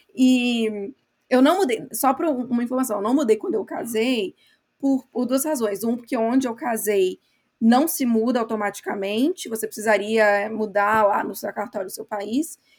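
A woman's fairly high voice at a moderate pace, with ordinary pitch variation and a plain, everyday voice. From Brazil. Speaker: podcast co-host, marketing worker. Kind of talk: casual chat.

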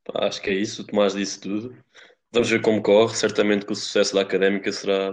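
A man talks in monotone, flat intonation, his voice fairly low in pitch. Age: 20s. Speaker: podcast co-host, economics student. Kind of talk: casual chat.

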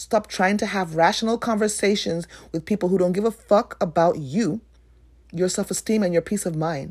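An animated voice with ordinary pitch variation speaks at a moderate pace on a very clean recording with a silent background. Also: woman, medium pitch for a woman. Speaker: podcast host and author. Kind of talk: solo podcast monologue.

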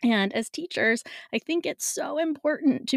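A woman at a fairly slow pace, animated in tone, with very wide pitch swings, in a dry, close sound with no echo. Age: 40s. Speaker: podcast host and music studio teacher. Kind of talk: solo podcast monologue. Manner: animated, frequent laughter.

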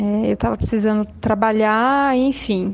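A woman's fairly high voice, at a fairly slow pace, with ordinary pitch variation. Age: 30s. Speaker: social worker and former educator. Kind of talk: recorded testimony. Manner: halting, many fillers.

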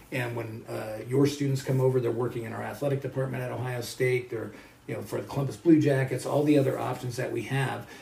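Amid noticeable background noise and audible room echo, a man with an American accent speaks very fast at medium pitch with monotone, flat intonation. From Colorado, US. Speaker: professor. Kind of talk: interview.

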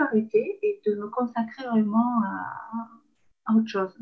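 At a fairly high pitch, a woman speaks somewhat breathily. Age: 50s. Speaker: eco-friendly shop owner. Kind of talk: interview testimony. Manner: halting, many fillers and repetitions.

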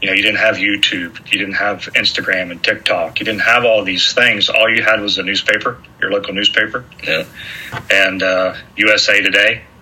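A man speaks at a moderate pace while noticeable background noise carries on around him. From southeastern Ohio. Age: 40s. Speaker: preacher and coach, former college football player. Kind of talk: casual interview. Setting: at host's dining room table.

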